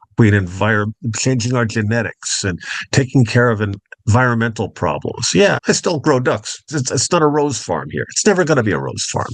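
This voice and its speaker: A man with an American accent speaks at medium pitch and a moderate pace. His intonation is lively, with vocal fry. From Long Island, New York (North Fork). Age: 60s. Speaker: duck farmer. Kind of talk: interview.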